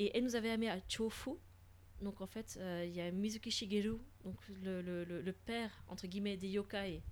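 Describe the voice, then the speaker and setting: A woman of medium pitch speaks at a moderate pace with fairly even intonation. She leaves long, frequent pauses. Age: 30s. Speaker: podcast co-host sharing travel experiences in Japan. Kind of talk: casual chat.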